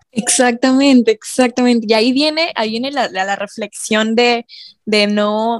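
The sound is dry and close, with no echo. A woman with a fairly high pitch speaks at a moderate pace with fairly even intonation. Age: 20s. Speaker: podcast guest. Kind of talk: casual chat.

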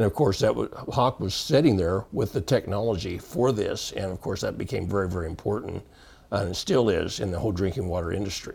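Speaking at a fairly quick pace, a man with a fairly low, somewhat breathy voice uses lively intonation. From Texas panhandle. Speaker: water quality industry veteran. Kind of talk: interview.

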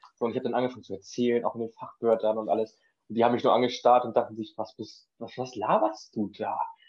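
At a very fast pace, a man delivers his words in a monotone, flat intonation at a medium pitch. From northern Germany (Schleswig-Holstein). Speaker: trained cook. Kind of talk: casual chat.

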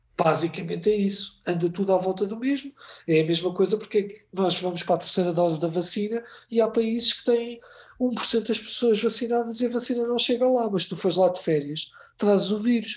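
A man speaks at a high pitch. His pace is fairly quick. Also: ordinary pitch variation. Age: 40s. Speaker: filmmaker and TV editor. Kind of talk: casual chat. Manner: halting, many repeated words.

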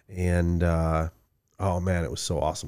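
A man with a Michigan accent is heard in a very clean recording with a silent background. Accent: Michigan general American. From Midland, Michigan. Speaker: podcast co-host. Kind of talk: casual chat.

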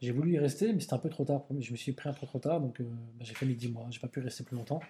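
A somewhat breathy man's voice, dark and mellow in tone, at a medium pitch with ordinary pitch variation. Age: 40s. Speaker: calligrapher and graffiti artist. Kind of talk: casual interview. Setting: studio.

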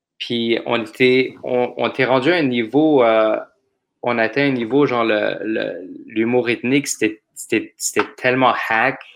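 A man talks at a very slow pace with long, frequent pauses. His medium-pitched voice keeps a fairly even intonation. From Montreal, Quebec. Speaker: comedian. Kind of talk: casual chat.

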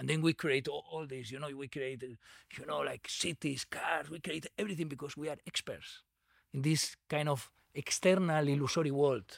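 Speaking at a moderate pace, a man with a Catalan accent has a fairly high pitch and fairly even intonation. The recording is very clean, with a silent background. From Spain, Barcelona. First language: Spanish or Catalan. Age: 40s. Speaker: Buddhist meditation community organizer. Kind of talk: casual interview.

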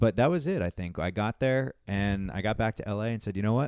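Speaking at a very fast pace, a man with a fairly low pitch and ordinary pitch variation comes through with a dry, close sound and no echo. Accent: New England. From Massachusetts, US. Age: 30s. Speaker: traveler and musician. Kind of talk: casual chat. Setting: restaurant.

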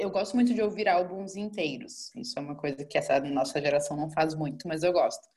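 At a fairly quick pace, a woman speaks at medium pitch in a somewhat breathy voice. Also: lively intonation, hardly any pauses. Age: 20s. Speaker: marketing manager and travel content creator. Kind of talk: casual chat.

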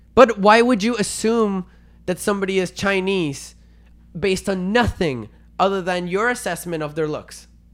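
With a Spanish accent and a high pitch, a man speaks in an animated tone at a moderate pace, his pitch varying in an ordinary way, on a very clean recording with a silent background. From Venezuela. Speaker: podcast co-host. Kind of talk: casual debate.

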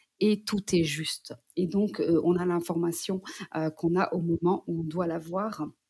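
A woman's fairly low, dark, mellow voice, somewhat breathy and monotone with flat intonation, at a fairly slow pace. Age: 30s. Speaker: psychogenealogist. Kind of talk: interview. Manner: hesitant, many fillers.

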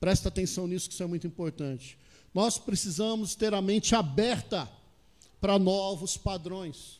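A man with a high-pitched voice speaks using ordinary pitch variation. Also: moderate pace. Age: 40s. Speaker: pastor. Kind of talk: sermon.

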